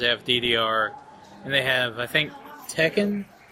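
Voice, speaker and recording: A man speaks at a very slow pace amid noticeable background noise. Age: 20s. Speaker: podcast co-host. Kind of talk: casual chat. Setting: hotel lobby at a convention, live recording.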